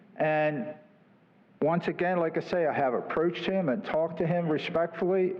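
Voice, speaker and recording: A voice with fairly even intonation and very even loudness, set against noticeable background noise. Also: man, high pitch for a man, moderate pace. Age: 70s. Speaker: resident speaking at public comment. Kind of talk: public comment at council meeting. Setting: city council meeting, at podium mic. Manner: halting, many fillers.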